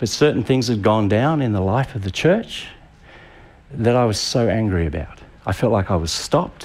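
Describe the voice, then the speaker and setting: Speaking at a moderate pace with an Australian accent, a man has a medium pitch and lively intonation. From Tasmania, Australia. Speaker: pastor. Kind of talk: sermon. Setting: church with live audience.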